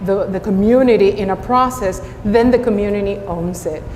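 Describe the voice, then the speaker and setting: A woman with a Spanish accent talks at a moderate pace. Noticeable background noise and audible room echo surround her voice. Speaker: school district superintendent. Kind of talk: panel discussion.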